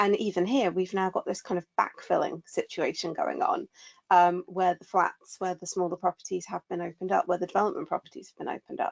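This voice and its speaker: A woman with a southern English accent, talking at a very fast pace. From southwest England. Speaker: burnout expert. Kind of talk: webinar discussion.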